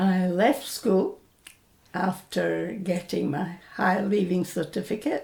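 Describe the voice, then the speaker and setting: A woman with a medium pitch speaks at a very slow pace. Her voice has vocal fry and ordinary pitch variation. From Scotland, Falkirk. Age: 80s+. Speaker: oral history interviewee, retired bank worker. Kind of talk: oral history interview. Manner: hesitant with fillers.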